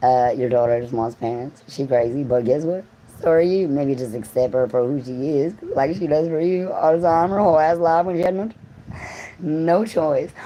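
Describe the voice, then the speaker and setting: Against noticeable background noise, a woman with a very deep, low voice speaks at a moderate pace with lively intonation. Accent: American. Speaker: livestreamer. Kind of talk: casual livestream monologue.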